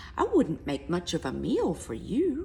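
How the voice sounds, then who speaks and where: Someone performs a put-on character voice at a moderate pace. Clear background noise runs underneath. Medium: read story.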